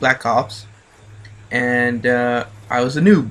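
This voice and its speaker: A man speaks very slowly at a medium pitch, his intonation fairly even. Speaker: video game commentator. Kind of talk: gameplay commentary talk. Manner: hesitant, many filler words.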